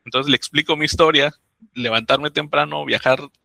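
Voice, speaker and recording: Talking at a fairly quick pace with a Mexican accent, a man sounds dry and close, with no echo. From Mexico, Oaxaca. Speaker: migrant, doctoral graduate and author. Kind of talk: interview storytelling.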